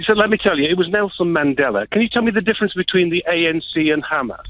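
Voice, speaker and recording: Over noticeable background noise, a man talks very fast at a high pitch, with ordinary pitch variation. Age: 60s. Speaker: caller. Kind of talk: phone-in debate. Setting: phone call.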